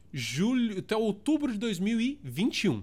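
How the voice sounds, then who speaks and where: An animated man with a São Paulo accent is heard in a very clean recording against a silent background. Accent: Paulistano Brazilian Portuguese. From Brazil, São Paulo (south zone). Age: 30s. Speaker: podcast host. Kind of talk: casual solo monologue.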